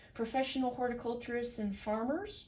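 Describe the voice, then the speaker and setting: The voice is a woman's and somewhat breathy. Its tone is dark and mellow. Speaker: student. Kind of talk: class presentation. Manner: hesitant, many fillers.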